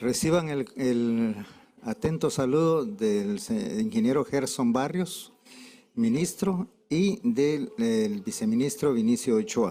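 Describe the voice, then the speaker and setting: The pitch swings very widely while the pace stays very slow and the loudness very even. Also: man, fairly high pitch for a man. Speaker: government representative. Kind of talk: conference speech.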